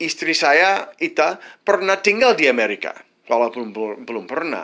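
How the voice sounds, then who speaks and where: A man with an English accent speaks at a fairly slow pace. His tone is bright and sharp. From United States. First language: English (speaking Indonesian). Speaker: vlogger, widower of an Indonesian wife. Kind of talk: advice monologue. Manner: halting, many false starts.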